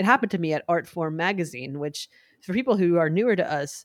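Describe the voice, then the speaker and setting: This woman has an ordinary speaking voice, fairly low in pitch, with lively intonation, a fairly quick pace and a dry, close sound with no echo. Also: very clean recording, silent background. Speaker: podcast host. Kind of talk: casual banter podcast chat.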